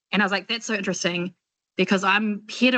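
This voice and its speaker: A woman speaks with a New Zealand accent over a quiet background. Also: dry, close sound with no echo. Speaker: doctoral student. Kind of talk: Q&A question in online seminar. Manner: animated, casual.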